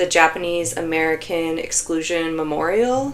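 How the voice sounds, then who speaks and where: A woman's plain, everyday voice, fairly low in pitch, at a fairly slow pace. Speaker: knitting vlogger. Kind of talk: casual vlog talk. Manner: chatty, filler-heavy.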